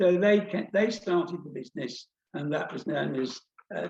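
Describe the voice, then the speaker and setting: A man's fairly high-pitched voice with vocal fry, lively intonation and a fairly slow pace. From Luton, Bedfordshire, England. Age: 70s. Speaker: former hat factory owner. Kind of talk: interview testimony.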